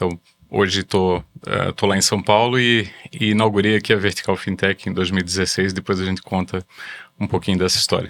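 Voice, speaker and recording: The sound is dry and close with no echo. A man speaks fairly quickly in a fairly low, monotone, flat voice. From Brazil, Blumenau, Santa Catarina. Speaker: company chairman, fintech executive. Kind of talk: videocast interview. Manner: halting, many repetitions.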